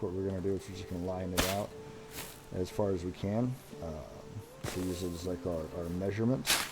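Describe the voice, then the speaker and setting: The voice is a plain, everyday voice with ordinary pitch variation. It moves at a moderate pace. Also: man. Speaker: gaming streamer. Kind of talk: live gameplay commentary. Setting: live stream.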